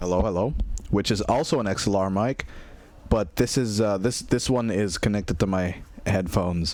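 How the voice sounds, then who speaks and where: Here a man talks in a fairly low voice. His pitch varies in an ordinary way. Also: moderate pace. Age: 20s. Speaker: streamer. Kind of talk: casual chat. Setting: live stream. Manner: casual, halting with repetitions. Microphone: new XLR mic.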